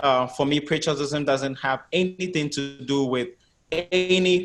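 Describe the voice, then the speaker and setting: Music plays in the background as a man speaks in a fairly high pitch. His intonation stays fairly even. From Ghana. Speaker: podcast host. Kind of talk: interview.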